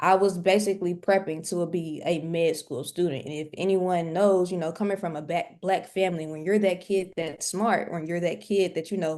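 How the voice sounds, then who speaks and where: In a Southern US accent, a woman with a fairly low, dark, mellow voice talks at a moderate pace with fairly even intonation and hardly any pauses. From US South, Mississippi. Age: 20s. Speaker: nursing student and day trader. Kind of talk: interview.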